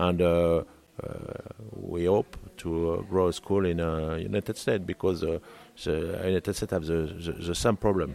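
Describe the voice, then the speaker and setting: A man speaks with a French accent in a very deep, low pitch. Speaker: cooking school manager. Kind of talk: interview. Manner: halting.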